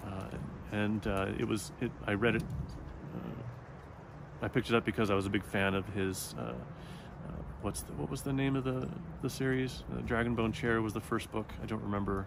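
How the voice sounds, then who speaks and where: A soft-spoken man with a fairly low pitch, lively intonation, a moderate pace, and long, frequent pauses. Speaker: book vlogger. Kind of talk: casual chat. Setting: outdoors in the woods. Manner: halting, many fillers.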